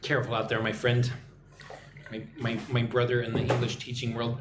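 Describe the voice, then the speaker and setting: Over music in the background, a man with a medium pitch talks at a fairly quick pace, with audible room echo around him. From Texas. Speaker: English teacher. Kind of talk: live stream chat. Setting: live stream.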